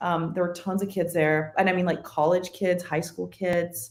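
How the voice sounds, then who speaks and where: Speaking in a Spanish accent, a woman keeps her intonation fairly even. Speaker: podcast guest. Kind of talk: casual chat.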